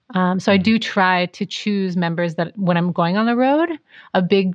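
With an American accent, a woman uses a normal speaking voice at a medium pitch, moderate pace and ordinary pitch variation. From US Pacific Northwest. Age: 30s. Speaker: jazz singer and vocal teacher. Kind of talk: casual interview.

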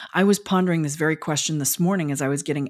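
A woman with a very deep, low voice on a very clean recording with a silent background. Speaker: podcast host. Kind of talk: interview conversation.

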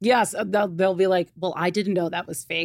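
A woman speaks fairly quickly in an ordinary speaking voice with fairly even intonation. The recording is very clean with a silent background and a dry, close sound with no echo. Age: 30s. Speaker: business co-owner. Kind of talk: casual chat. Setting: studio.

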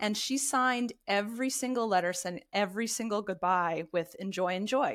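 In a very clean recording with a silent background, a normal speaking voice with an American accent moves at a moderate pace, with ordinary pitch variation and very even loudness. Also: woman, medium pitch for a woman. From US East Coast. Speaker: literacy education professor and author. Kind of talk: interview.

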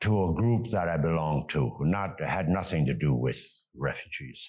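In a very clean recording with a silent background, a man speaks fairly slowly with vocal fry. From Germany, raised in US. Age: 90s. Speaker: retired businessman and volunteer refugee fundraiser. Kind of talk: interview, telling his story.

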